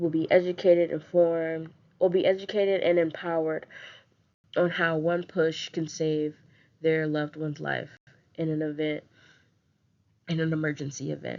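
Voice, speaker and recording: This woman has a very deep, low pitch and speaks at a moderate pace. Her intonation is monotone and flat, broken by long, frequent pauses. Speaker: public health intern. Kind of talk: campaign pitch presentation. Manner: halting, with pauses.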